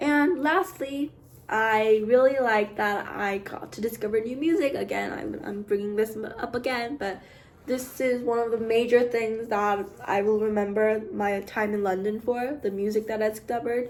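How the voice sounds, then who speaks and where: This woman's voice sits fairly high and moves at a moderate pace. Her pitch varies in an ordinary way, with noticeable background noise behind her. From western Canada (Vancouver). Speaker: art student vlogger. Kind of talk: casual vlog monologue. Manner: casual, hesitant with frequent fillers.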